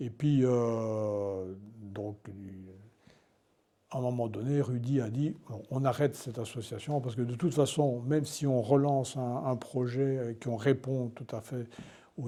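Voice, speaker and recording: A man with a medium pitch and a dark, mellow tone speaks at a fairly slow pace with fairly even intonation. His loudness swings widely. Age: 70s. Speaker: retired journalist. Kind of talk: interview. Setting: indoor venue, mill. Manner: halting, many repetitions.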